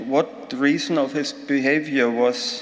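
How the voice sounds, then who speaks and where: A man with a German accent speaks at a very slow pace and fairly high pitch, with ordinary pitch variation. The recording has audible room echo and noticeable background noise. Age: 60s. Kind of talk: conference talk. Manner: halting.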